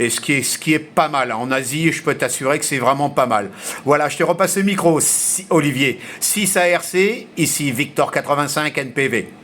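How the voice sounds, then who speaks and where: With lively intonation and fairly high pitch, a man talks at a moderate pace over noticeable background noise. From grew up mostly abroad, French. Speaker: amateur radio operator. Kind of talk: radio contact conversation. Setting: shortwave radio contact. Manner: hesitant, many fillers.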